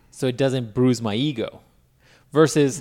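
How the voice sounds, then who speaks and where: On a very clean recording with a silent background, a man with an unremarkable speaking voice talks at a moderate pace in a fairly high pitch. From Mexican-American background. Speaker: podcast co-host. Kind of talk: casual chat.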